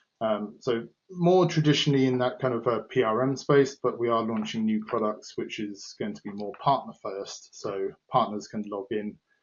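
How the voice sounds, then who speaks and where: A man speaks with a British accent at a moderate pace. He barely pauses, and his pitch varies in an ordinary way. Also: medium pitch for a man, big swings in loudness. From UK. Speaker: head of professional services at a software company. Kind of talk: podcast interview. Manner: hesitant, many fillers.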